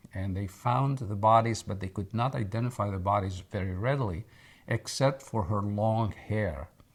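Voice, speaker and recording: On a very clean recording with a silent background, a man speaks at a moderate pace in a fairly low, somewhat breathy voice with ordinary pitch variation. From Egypt. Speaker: oral history interviewee. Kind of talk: interview answer.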